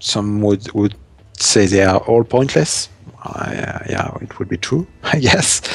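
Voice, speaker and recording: A man with a strong French accent and fairly low pitch, speaking at a very slow pace with ordinary pitch variation amid noticeable background noise. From France. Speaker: game streamer. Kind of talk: live gameplay commentary. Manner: halting, frequent repetitions and fillers.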